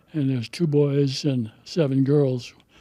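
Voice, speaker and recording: A fairly slow, fairly high-pitched man's voice with a dark, mellow tone. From interior Alaska (Yukon River village). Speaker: Alaska Native elder. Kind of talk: storytelling. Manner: halting.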